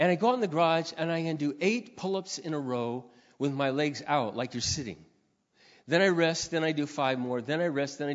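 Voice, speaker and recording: A plain, everyday voice at a fairly quick pace, with ordinary pitch variation. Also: man. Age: 50s. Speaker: pastor. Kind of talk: sermon.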